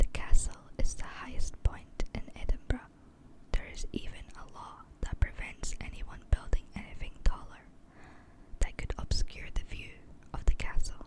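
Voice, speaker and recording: Over noticeable background noise, the whisper moves at a moderate pace, broken by long, frequent pauses. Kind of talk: ASMR history tour narration. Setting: close-up microphone. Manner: whispered.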